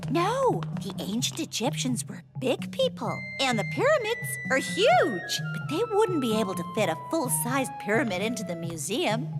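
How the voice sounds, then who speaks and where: A cartoonish character voice, female-sounding, at a moderate pace over loud music in the background. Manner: precise, teacherly.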